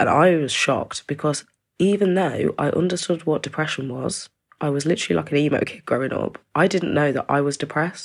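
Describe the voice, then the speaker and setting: Speaking at a fairly quick pace, a woman with an East Midlands accent has a very deep, low pitch and ordinary pitch variation. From East Midlands, England (small rural town). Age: 20s. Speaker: domestic abuse survivor. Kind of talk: personal testimony. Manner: casual, conversational.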